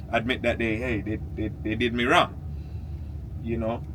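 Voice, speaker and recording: A man with an animated tone, in audible room echo. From Jamaica. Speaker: vlogger. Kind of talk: casual vlog monologue. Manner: animated, repetitive stammering.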